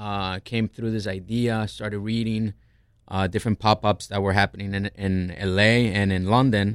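A man with a fairly low pitch and monotone, flat intonation, on a very clean recording with a silent background. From Colombia, raised in New Jersey. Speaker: chef, restaurant owner. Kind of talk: casual chat. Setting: studio.

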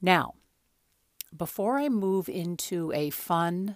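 A woman in a dry, close sound with no echo. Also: very clean recording, silent background. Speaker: podcast host and coach. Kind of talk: guided meditation; casual educational talk. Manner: soft, slow, soothing.

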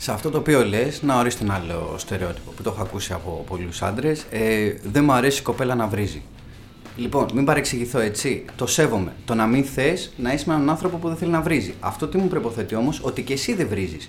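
A fairly quick pace over music in the background. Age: 30s. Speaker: podcast host. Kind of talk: casual chat.

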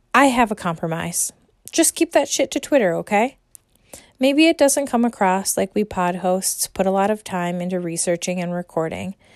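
A woman with an American accent uses a normal speaking voice at medium pitch. She speaks at a moderate pace with lively intonation. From United States. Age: 30s. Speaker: podcast host. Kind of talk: monologue rant. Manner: scripted reading.

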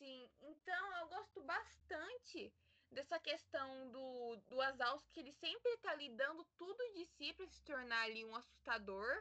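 A woman speaks in a raised, projected voice at a high pitch. Her pace is fairly slow and her intonation lively. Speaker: podcast co-host. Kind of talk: casual chat.

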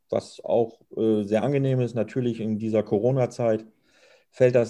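Heard over a quiet background, a man at medium pitch talks at a moderate pace with a dark, mellow tone and fairly even intonation. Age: 50s. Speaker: snack bar owner and chef. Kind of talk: interview.

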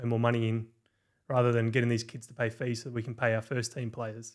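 A man speaks in an Australian accent at a very fast pace. His intonation is monotone and flat. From rural New South Wales, Australia. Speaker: football content creator. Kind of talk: casual chat.

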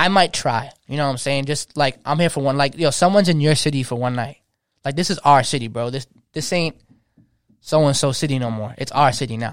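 A man with an unremarkable speaking voice talks at a fairly quick pace in a fairly high pitch, with ordinary pitch variation, on a very clean recording with a silent background. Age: 20s. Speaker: DJ. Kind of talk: casual chat.

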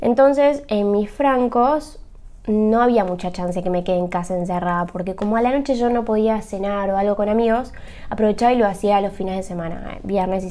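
Audible room echo carries a woman's voice. She talks at a fairly quick pace with ordinary pitch variation. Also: medium pitch for a woman. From Argentina, Buenos Aires. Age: 30s. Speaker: podcaster, hotel worker. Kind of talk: casual monologue.

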